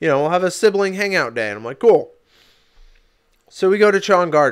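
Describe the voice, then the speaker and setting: On a very clean recording with a silent background, a man's high voice sounds animated, with very wide pitch swings. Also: fairly quick pace. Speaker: podcast co-host. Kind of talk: casual chat. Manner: loud, half yelling.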